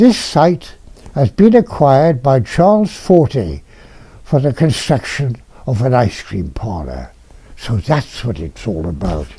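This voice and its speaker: A man with a Welsh accent talks at a fairly slow pace. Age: 90s. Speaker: retired dentist recalling local history. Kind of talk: oral history reminiscence. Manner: halting with fillers.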